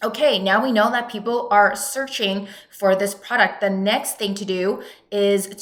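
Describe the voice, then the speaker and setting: A woman at medium pitch, fairly slow and fairly even in intonation, with audible room echo. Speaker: online business coach. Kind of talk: tutorial.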